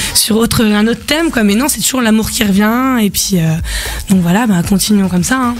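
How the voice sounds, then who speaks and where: Over noticeable background noise and audible room echo, a woman with a fairly high pitch talks at a fairly quick pace with ordinary pitch variation. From France. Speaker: singer-songwriter. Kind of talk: radio interview. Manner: hesitant, many fillers.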